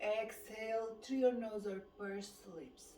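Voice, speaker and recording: Calm and monotone, a woman with a fairly high pitch talks in a flat intonation amid audible room echo and noticeable background noise. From Romania. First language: Romanian. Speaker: fitness instructor. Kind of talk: guided exercise class. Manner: calm, slow.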